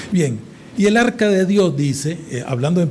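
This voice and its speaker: The speech has lively intonation, with audible room echo and noticeable background noise. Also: man. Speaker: preacher. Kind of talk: sermon. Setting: church service with congregation. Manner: deliberately slow today.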